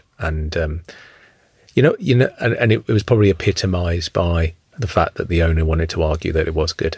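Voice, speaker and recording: Somewhat breathy and very deep in pitch, a man speaks with a southern English accent. He goes at a very fast pace with ordinary pitch variation. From England, Luton. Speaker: food chain executive. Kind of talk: interview. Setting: studio. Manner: halting, many fillers.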